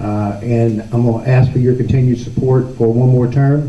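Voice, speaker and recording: With a Southern US accent, a man speaks in a monotone, flat intonation at a medium pitch, his tone dark, mellow and somewhat breathy, with audible room echo. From Chumuckla, Florida panhandle. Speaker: county commissioner. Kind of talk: campaign speech at a candidate forum. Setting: public meeting with audience.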